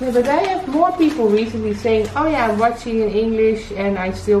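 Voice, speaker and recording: Audible room echo and light background noise accompany a woman talking at a fairly quick pace. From Netherlands. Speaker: vlogger, fashion designer. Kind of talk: casual unboxing chat. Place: home room. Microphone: camera far.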